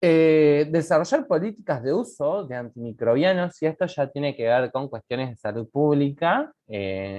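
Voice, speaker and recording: A man's fairly slow speech with lively intonation. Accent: Uruguayan. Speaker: medical lecturer. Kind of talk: lecture. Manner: casual, animated.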